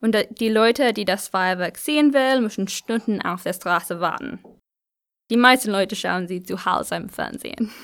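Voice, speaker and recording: A woman's fairly high voice with an English accent, at a moderate pace. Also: ordinary pitch variation, very clean recording, silent background. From London, England. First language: English (speaking German). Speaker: contributor from abroad. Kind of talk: read-out statement. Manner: halting, with fillers.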